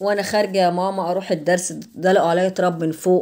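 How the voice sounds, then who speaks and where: A woman speaks with an Egyptian accent. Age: 60s. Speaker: vlogger; home vlogger. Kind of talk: life story; casual vlog storytelling. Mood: aggrieved recollection. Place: kitchen. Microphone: camera far.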